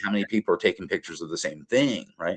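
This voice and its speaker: Speaking very fast, this man has an Appalachian accent. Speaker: professor. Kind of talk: interview. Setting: podcast. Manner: many filler words (uh).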